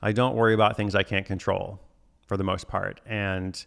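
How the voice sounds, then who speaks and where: A man talks at a fairly low pitch and a moderate pace, with fairly even intonation and a normal speaking voice. The recording is very clean, its background silent. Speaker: author and livestream host. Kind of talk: live stream chat with viewers. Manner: casual, many fillers.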